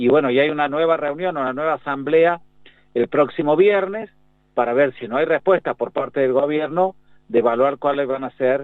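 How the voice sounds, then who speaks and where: A man with a normal speaking voice uses lively intonation at a moderate speed. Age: 60s. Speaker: pediatrician and infectious disease doctor. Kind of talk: radio interview.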